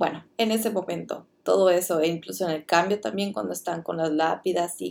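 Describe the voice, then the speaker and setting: Medium pitch from a woman, with ordinary pitch variation at a fairly quick pace. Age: 20s. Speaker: podcast host, student. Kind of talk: casual review monologue.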